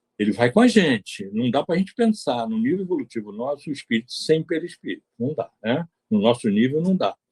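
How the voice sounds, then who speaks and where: Fairly quick, nearly pause-free speech from a fairly high-pitched man with very wide pitch swings, in a dry, close sound with no echo. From Brazil, Bahia (Salvador). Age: 80s+. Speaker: spiritist lecturer, retired engineer. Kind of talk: lecture. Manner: animated, conversational.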